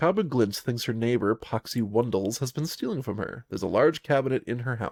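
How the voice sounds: The voice reads naturally, and its pitch varies in an ordinary way.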